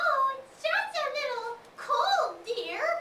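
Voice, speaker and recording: A squeaky, croaky put-on character voice at an extremely high pitch and a very slow pace. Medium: read story. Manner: put-on old-lady sweetness.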